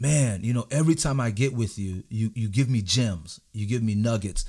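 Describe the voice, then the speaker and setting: This is a normal speaking voice with an American accent at a moderate pace. The recording is very clean, with a silent background. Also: man. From South Florida, West Palm Beach. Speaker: pastor and leadership coach. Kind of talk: interview.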